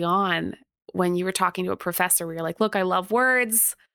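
A woman with a Canadian accent speaks in a bright, sharp tone in a very clean recording with a silent background. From Canada. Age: 40s. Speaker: podcast host and historian. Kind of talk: interview.

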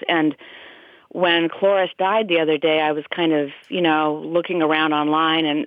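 A woman talks with a very deep, low pitch at a moderate pace. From US Midwest, Des Moines, Iowa. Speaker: film critic. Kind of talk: casual chat.

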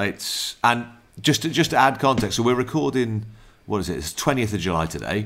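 A man with a medium pitch speaks at a fairly quick pace with lively intonation. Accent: South Wales. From Wales, Newport. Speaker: podcast host. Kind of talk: casual chat.

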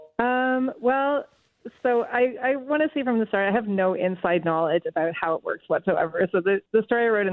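At a fairly quick pace, a woman speaks in a plain, everyday voice with lively intonation. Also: very even loudness. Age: 50s. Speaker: writer. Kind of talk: radio phone interview. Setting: phone call.

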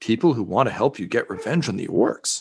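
A put-on character voice from a man, medium in pitch, at a fairly quick pace. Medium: actual play. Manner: coaxing, persuasive.

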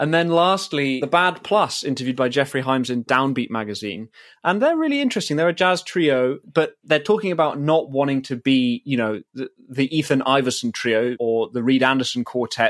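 An ordinary speaking voice at a fairly quick pace, hardly any pauses, ordinary pitch variation, and a dry, close sound with no echo. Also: man. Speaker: podcast co-host and producer. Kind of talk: casual chat. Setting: video call.

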